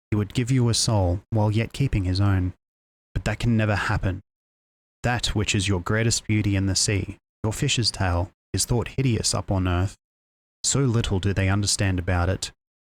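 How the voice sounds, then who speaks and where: A soft-spoken man talks at a moderate pace in a somewhat breathy, fairly low voice, his intonation fairly even and his loudness very even. The recording is very clean with a silent background and a dry, close sound with no echo. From Australia. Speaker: virtual streamer. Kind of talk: bedtime story reading.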